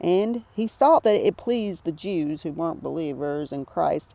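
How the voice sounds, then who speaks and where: The speaker has a Southern US accent and a dark, mellow tone, with lively intonation at a fairly slow pace. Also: woman. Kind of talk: Bible study reading and commentary. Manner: casual, conversational.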